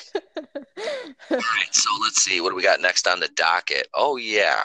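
A man talks at a fairly slow pace with very even loudness. The sound is dry and close, with no echo. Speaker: podcast host; former weekend radio DJ.

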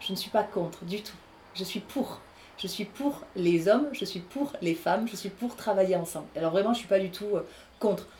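Here is an unremarkable speaking voice from a woman at a medium pitch with ordinary pitch variation. She keeps a moderate pace, with big swings in loudness. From southern France, Aveyron (Rodez). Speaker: actress and voice artist. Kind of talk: interview.

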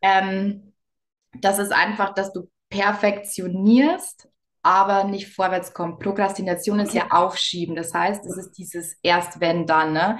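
Her intonation is fairly even. The woman talks at a very slow pace. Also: medium pitch for a woman, big swings in loudness. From Bavaria, Lower Bavaria. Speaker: business coach. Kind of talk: interview.

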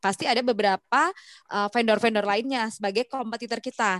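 A woman's voice, dry and close with no echo, in a very clean recording over a silent background. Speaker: podcast co-host, sales professional. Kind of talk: casual chat.

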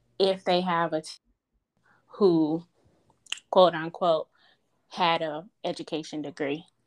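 A woman's fairly low voice at a very slow pace, monotone and flat, with a dry, close sound with no echo and a quiet background. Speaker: podcast host. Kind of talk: interview, casual conversation.

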